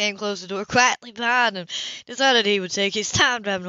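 The clip presents an unforced reading voice.

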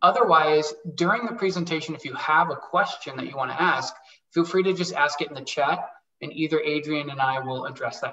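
A man talks at a moderate pace with ordinary pitch variation. Audible room echo surrounds his voice. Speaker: webinar host. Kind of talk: event introduction. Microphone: video call.

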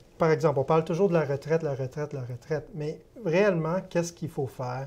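A man with a dark, mellow tone speaks at a fairly high pitch, his voice somewhat breathy, with ordinary pitch variation. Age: 30s. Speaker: investment firm sales executive. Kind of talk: TV interview. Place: studio. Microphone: lapel.

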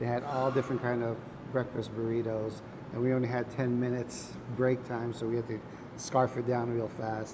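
A man with monotone, flat intonation at a moderate pace, with noticeable background noise. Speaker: food vlogger. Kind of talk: casual food review vlog chat. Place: cafe. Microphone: lapel.

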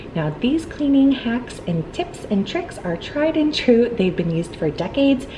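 There is noticeable background noise as a woman talks at a moderate pace. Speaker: home cleaning vlogger. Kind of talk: tutorial. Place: home room.

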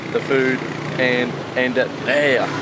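A man's voice amid loud background noise. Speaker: travel food vlogger. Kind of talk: casual vlog chat. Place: street. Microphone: phone near.

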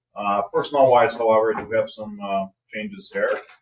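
A man talks at a moderate pace over light background noise, with audible room echo. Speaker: public safety official giving report. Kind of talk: meeting report. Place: meeting room.

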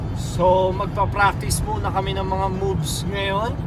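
Loud background noise behind a man, fairly slow in pace. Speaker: vlogger, basketball camp facilitator. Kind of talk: casual vlog chat. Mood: relaxed, calm. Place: car. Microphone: phone near.

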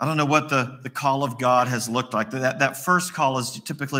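With an Appalachian accent, a man speaks at a fairly quick pace in a bright, sharp tone with ordinary pitch variation. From West Virginia. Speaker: pastor. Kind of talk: sermon. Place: church.

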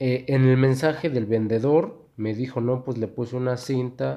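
This man talks at a medium pitch with a Mexican accent. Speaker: YouTuber. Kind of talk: casual unboxing video. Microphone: low quality recording.

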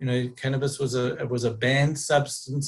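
Somewhat breathy, a man's voice carries the speech. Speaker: presenter. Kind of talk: lecture. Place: home room. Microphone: webcam.

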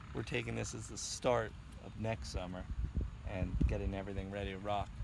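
A man speaks at a fairly low pitch with vocal fry.

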